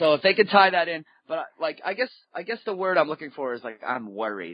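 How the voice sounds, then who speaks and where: A man with an American accent speaks at a moderate pace. His pitch swings very widely. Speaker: stand-up comedian. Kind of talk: casual chat. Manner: halting.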